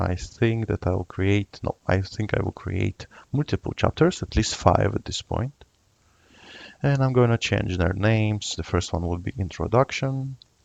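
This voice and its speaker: A man's fairly low-pitched voice with lively intonation, at a fairly slow pace, dry and close with no echo, against a quiet background. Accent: non-native. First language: not English. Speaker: software tutorial youtuber. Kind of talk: screen-recorded tutorial. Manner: hesitant, many filler uhs.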